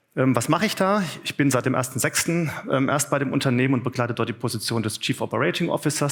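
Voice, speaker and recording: A man talks at a medium pitch that shifts in an ordinary way. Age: 40s. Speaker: business executive, conference speaker. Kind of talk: conference talk. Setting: conference room with audience. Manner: hesitant, many filler sounds.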